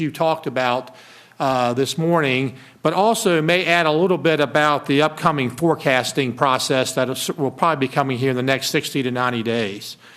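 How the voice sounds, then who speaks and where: Here is a man with an unremarkable speaking voice. He talks at a moderate pace with ordinary pitch variation. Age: 60s. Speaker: state finance secretary. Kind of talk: formal presentation. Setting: committee meeting.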